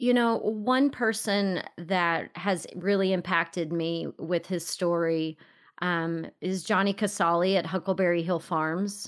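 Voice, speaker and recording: In a very clean recording with a silent background, a woman with a Texan accent talks at a fairly slow pace, her fairly low pitch showing ordinary variation. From Texas. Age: 40s. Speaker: podcast host and entrepreneur. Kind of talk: interview conversation.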